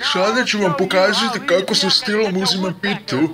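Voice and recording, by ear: Over clear background noise, a man puts on a character voice at a high pitch.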